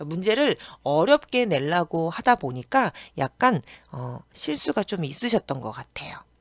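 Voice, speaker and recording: A woman at a fairly low pitch and moderate pace, with very wide pitch swings, big swings in loudness, and a dry, close sound with no echo. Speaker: accounting tax instructor. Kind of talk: online lecture. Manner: casual chatty.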